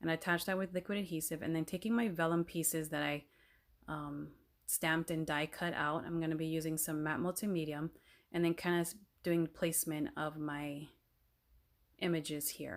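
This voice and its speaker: A woman with an ordinary speaking voice talks at a fairly quick pace, her fairly low pitch held in fairly even intonation. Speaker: card-making crafter. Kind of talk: voiceover tutorial.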